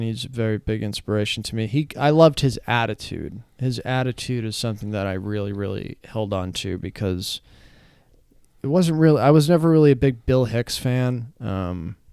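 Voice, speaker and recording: A man mumbles quietly with lively intonation. The recording is very clean, with a silent background. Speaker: stand-up comedian. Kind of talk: casual chat. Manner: mumbly.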